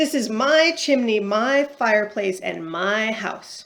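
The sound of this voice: A croaky, put-on character voice moves along at a fairly slow pace. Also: woman, fairly high pitch for a woman.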